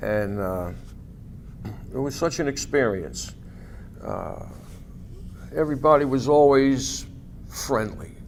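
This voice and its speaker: A man at medium pitch and a very slow pace, with ordinary pitch variation, long, frequent pauses and audible room echo. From New York City, Staten Island. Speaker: war veteran. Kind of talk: oral history interview. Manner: halting, many fillers.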